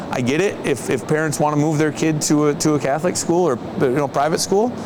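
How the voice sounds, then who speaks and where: Very fast and fairly high-pitched, a man with an American accent keeps a very even loudness and ordinary pitch variation over noticeable background noise. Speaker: high school basketball coach. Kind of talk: interview. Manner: halting, many repeated words.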